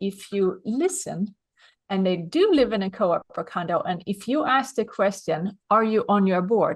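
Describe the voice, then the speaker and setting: A woman with a Swedish accent, medium in pitch, at a fairly slow pace over a quiet background. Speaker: business consultant. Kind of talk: interview.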